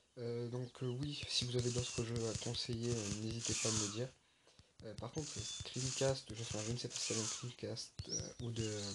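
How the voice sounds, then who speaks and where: Noticeable background noise runs under a man speaking at a moderate pace. His medium pitch stays in a monotone, flat intonation. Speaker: gamer. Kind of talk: let's play game commentary.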